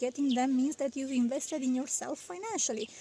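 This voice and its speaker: Here is a woman with a non-native accent. Her pitch is high, with ordinary variation. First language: not English. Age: 30s. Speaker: vlogger. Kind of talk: casual vlog talk. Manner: halting, frequent fillers.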